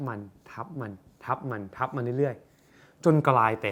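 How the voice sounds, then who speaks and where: An energetic-toned man. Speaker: self-help content creator and businessman. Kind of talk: motivational talk.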